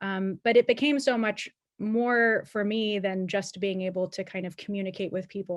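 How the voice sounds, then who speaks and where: A woman with an unremarkable speaking voice and an American accent talks at a moderate pace, medium pitch and ordinary pitch variation. The sound is dry and close with no echo, over a quiet background. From Pennsylvania, US. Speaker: alumni panelist, policy professional. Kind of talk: panel discussion.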